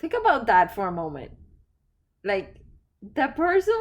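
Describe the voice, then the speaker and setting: A woman speaks with a non-native accent. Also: very clean recording, silent background. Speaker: podcast host and life coach. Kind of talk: reflective solo podcast talk.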